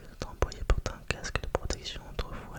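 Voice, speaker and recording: The speaker whispers with noticeable background noise present. The pace is moderate. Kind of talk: whispered ASMR reading aloud to help sleep. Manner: whispered, very quiet.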